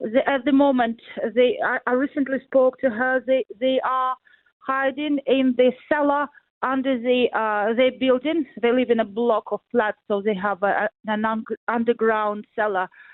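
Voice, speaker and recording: A woman with a high pitch and a Ukrainian accent at a fairly slow pace. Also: fairly even intonation. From Ukraine, central (Poltava region). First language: Ukrainian or Russian. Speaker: interviewee, family in war zone. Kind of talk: radio interview. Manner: halting, many hesitations.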